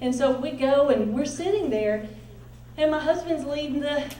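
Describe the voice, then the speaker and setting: A loud, high-pitched woman with a Southern US accent and lively intonation at a moderate pace, with audible room echo and noticeable background noise. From US South, Nashville. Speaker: pastor's wife and ministry speaker. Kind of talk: conference talk. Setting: stage with audience. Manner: animated.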